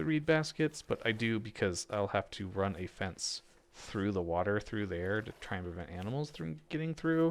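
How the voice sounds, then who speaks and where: On a very clean recording with a silent background, a soft-spoken man talks at a moderate pace. His fairly low voice swings very widely in pitch. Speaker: gaming video creator. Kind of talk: let's play commentary. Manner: halting.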